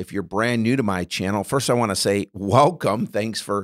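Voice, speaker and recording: In a quiet background, a man speaks at a moderate pace with lively intonation. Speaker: bible study teacher. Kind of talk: tutorial. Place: studio. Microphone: studio mic.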